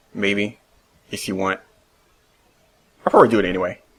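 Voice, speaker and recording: A man speaks quietly at a fairly low pitch. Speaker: solo video podcaster. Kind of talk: casual monologue. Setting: home recording at computer. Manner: quiet, reserved.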